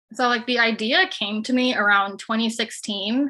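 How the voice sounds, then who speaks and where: A woman's plain, everyday voice, fairly high in pitch. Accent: American. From Chicago. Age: 20s. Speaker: nursing student and finance content creator. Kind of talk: casual chat. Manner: heavy use of filler 'like'.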